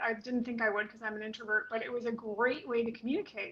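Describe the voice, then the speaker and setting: Noticeable background noise sits behind a woman with an American accent who talks at a very fast pace in a fairly high pitch with an animated tone. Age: 60s. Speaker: spiritual teacher and video coach. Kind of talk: casual chat. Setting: live video stream.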